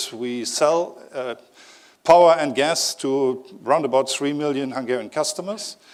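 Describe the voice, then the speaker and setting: A man speaks with a German accent in a medium pitch. His pace is fairly slow, with ordinary pitch variation. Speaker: company executive. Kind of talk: conference talk. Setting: stage with audience. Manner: hesitant with fillers.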